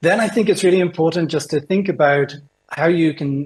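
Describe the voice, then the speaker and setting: Somewhat breathy, a man with a British accent talks at a fairly quick pace. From United Kingdom. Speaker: innovation consultant. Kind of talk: presentation talk. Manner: hesitant, many fillers.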